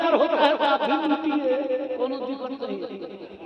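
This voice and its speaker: A man speaks at an extremely high pitch with a Bihari accent and ordinary pitch variation. There is noticeable background noise behind him. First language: Bhojpuri (speaking Hindi). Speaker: professor of Urdu and Persian giving a religious speech. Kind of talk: public religious speech (taqreer). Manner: oratorical, formal with long lists.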